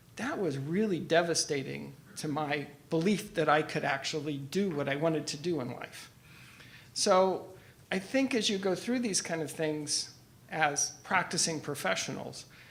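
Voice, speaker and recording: Amid audible room echo, a man with a high voice and lively intonation talks at a fairly slow pace, leaving long, frequent pauses. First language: Italian and French. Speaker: engineer and professor. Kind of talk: conference talk. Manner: halting.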